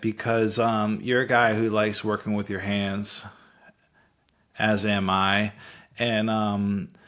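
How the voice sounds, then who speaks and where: A man's unremarkable speaking voice, fairly low in pitch, at a fairly slow pace. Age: 50s. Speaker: podcast host. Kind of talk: casual interview chat.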